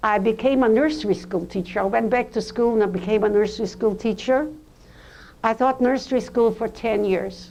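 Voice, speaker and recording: A woman's fairly high voice with vocal fry, fairly even intonation and a moderate pace. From eastern Poland. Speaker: Holocaust survivor speaker. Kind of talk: testimony.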